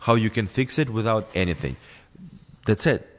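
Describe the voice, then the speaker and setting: Lively intonation and vocal fry mark this man's fairly low voice. He speaks at a moderate pace with a non-native accent. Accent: non-native English, imperfect pronunciation. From former Soviet Union. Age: 30s. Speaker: podcast guest, filmmaker. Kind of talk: heated debate; casual chat. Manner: halting.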